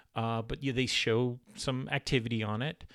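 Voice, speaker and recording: A man with an ordinary speaking voice and medium pitch talks at a moderate pace on a very clean recording with a silent background. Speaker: author and credit repair educator. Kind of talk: tutorial. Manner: casual, conversational with fillers.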